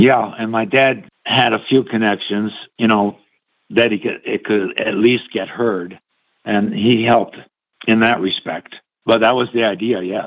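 In an American accent, a man with a plain, everyday voice speaks at medium pitch and a fairly slow pace, keeping his intonation fairly even. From upstate New York. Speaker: musician. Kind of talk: interview. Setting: phone call.

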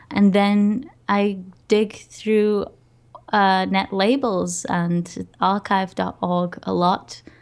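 A woman's medium-pitched voice at a very slow pace. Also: fairly even intonation. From Portugal. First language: Portuguese. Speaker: podcaster and music curator. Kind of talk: interview.

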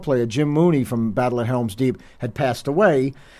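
A man with a New Jersey accent talks at a very fast pace. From New Jersey (Hoboken). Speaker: heavy metal drummer. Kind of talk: radio interview.

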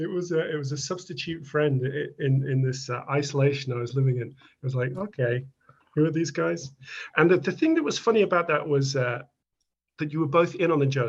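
A man speaks with a British accent at a fairly quick pace. His voice is somewhat breathy and fairly high-pitched, with ordinary pitch variation. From UK. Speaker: listener interviewer. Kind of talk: casual interview.

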